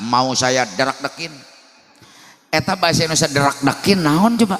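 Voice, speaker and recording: A man speaks in an animated tone at a moderate pace, with noticeable background noise behind him. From West Java, Sundanese (Cimande, Bogor). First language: Sundanese (speaking Indonesian). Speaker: Islamic preacher. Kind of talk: humorous sermon.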